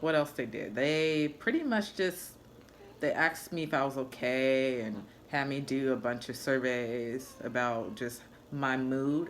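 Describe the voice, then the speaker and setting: In a room with audible echo, a woman talks at a very slow pace with a very deep, low pitch. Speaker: vlogger, new mother. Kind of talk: personal vlog. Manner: casual, conversational.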